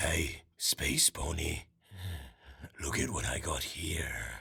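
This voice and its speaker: A man puts on a character voice. It is raspy and delivered at a very slow pace. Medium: audio drama. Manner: gentle, patient, sighing.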